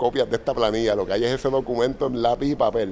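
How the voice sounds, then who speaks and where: A man with a Puerto Rican accent at medium pitch and a fairly quick pace. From Puerto Rico. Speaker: software company founder. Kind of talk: interview storytelling. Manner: halting, many fillers.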